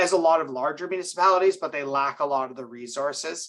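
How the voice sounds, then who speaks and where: This man's voice has a bright, sharp tone and ordinary pitch variation. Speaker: cybersecurity specialist at a cyber insurer. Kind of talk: webinar presentation. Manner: fast.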